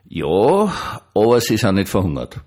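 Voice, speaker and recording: Very clean, the recording has a silent background. A man speaks at a fairly slow pace. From Austria. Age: 60s. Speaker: pastor. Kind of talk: monologue vlog. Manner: conversational.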